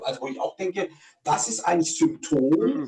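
The speaker talks at a moderate pace, with very wide swings in pitch. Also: man. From southern Germany. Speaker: podcast co-host with Tourette syndrome. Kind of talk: casual chat.

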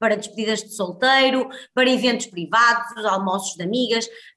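Fairly high in pitch, a woman talks at a moderate pace with ordinary pitch variation. Background noise is noticeable. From northern Portugal, Guimarães. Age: 30s. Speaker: healthy-eating entrepreneur and cooking instructor. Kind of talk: casual interview chat.

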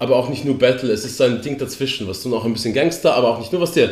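Somewhat breathy, a man speaks very fast at medium pitch with ordinary pitch variation, and the room echo is audible. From Poland. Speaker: podcast co-host. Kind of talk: casual chat.

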